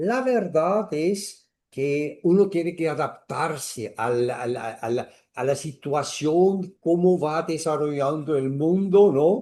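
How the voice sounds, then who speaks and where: Over a quiet background, a man with a fairly high pitch and a dark, mellow tone speaks at a very slow pace with lively intonation. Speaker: astrologer. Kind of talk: interview. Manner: halting, many repetitions.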